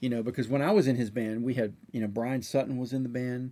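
With fairly even intonation, a man speaks in a dark, mellow tone. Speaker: session and touring drummer. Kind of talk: casual interview chat. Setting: studio.

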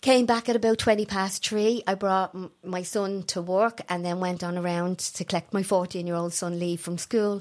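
Speaking with a Dublin accent at a moderate pace, a woman keeps her intonation fairly even and hardly pauses at all. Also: medium pitch for a woman. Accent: Dublin Irish. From Ireland, Tallaght, Dublin. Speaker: bereaved mother and campaigner. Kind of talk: interview testimony.

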